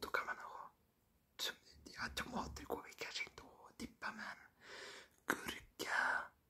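A man whispering. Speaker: vlogger. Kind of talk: ASMR talk to camera. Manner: whispered. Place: home room. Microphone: phone near.

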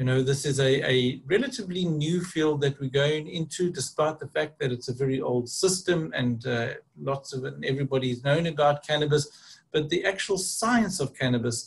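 Pitch varies in an ordinary way as a man talks. He keeps a moderate pace. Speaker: presenter. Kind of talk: lecture. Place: home room. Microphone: webcam.

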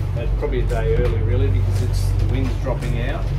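A man speaking with music in the background. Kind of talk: casual vlog chat. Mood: relaxed, cheerful. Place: boat. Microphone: phone near.

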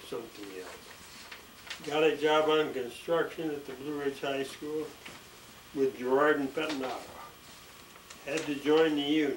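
Amid light background noise and audible room echo, a man with an American accent speaks at a moderate pace with fairly even intonation. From USA, Pennsylvania. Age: 80s+. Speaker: retired sewage plant operator. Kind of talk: autobiography reading. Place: home room. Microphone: camera far.

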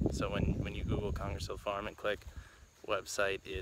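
Low-pitched man's voice with a fairly bright tone and monotone, flat intonation over faint background noise

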